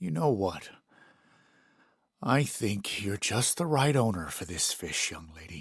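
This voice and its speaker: Using a put-on character voice, a man speaks at a fairly slow pace with fairly low pitch and long, frequent pauses. The recording is very clean, with a silent background. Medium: read story. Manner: soft-spoken, hesitant.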